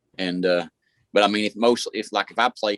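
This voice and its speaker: With a dry, close sound and no echo, a man of fairly low pitch talks at a fairly quick pace in fairly even intonation. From West Virginia/Kentucky border. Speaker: radio show and podcast host. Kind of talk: casual chat. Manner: halting, many fillers.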